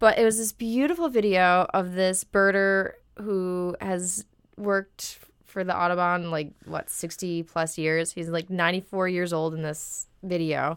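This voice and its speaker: A woman with a normal speaking voice talks at a fairly slow pace and medium pitch, keeping her intonation fairly even. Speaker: podcast co-host. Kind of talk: casual chat.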